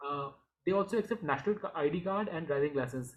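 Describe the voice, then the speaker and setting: The man's delivery is very fast. He uses lively intonation. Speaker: finance YouTuber. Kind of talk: tutorial. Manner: halting.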